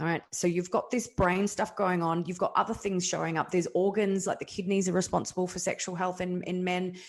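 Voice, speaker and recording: A woman with an Australian accent at a fairly quick pace, hardly any pauses and monotone, flat intonation, against a quiet background. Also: medium pitch for a woman. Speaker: kinesiologist and men's health practitioner. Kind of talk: interview. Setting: podcast interview. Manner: fast.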